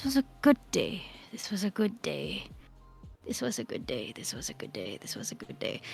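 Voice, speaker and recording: Whispering and mumbling in a put-on character voice, the speaker moves at a moderate pace with music in the background. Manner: mumbling, muttering.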